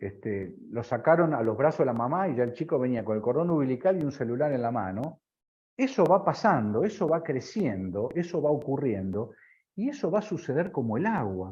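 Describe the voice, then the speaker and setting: A man's somewhat breathy, fairly high voice with very wide pitch swings at a moderate pace. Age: 60s. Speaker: business consultant. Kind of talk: interview.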